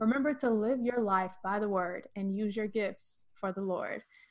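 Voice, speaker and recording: This woman has an unremarkable speaking voice, fairly high in pitch, with fairly even intonation and a moderate pace. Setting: video call, recorded on camera and YouTube.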